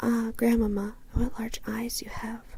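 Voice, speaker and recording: Someone is whispering at a moderate pace. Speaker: ASMR creator. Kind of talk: bedtime story reading. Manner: whispered.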